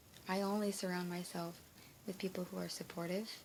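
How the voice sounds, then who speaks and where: At a moderate pace, a woman with a medium-pitched voice talks over noticeable background noise. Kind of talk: casual talk to camera. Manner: hesitant, with pauses and stutter.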